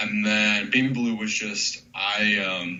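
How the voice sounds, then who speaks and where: A man's fairly low-pitched voice amid noticeable background noise and audible room echo. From North Carolina. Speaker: hip hop beat producer. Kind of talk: interview. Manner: casual, many fillers.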